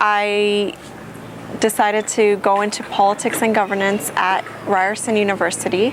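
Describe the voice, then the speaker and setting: A woman speaks at a moderate pace with monotone, flat intonation. Background noise is noticeable. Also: medium pitch for a woman, very even loudness. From Canada (Toronto), from age five. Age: 20s. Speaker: recent university graduate and former refugee. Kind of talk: personal testimony interview.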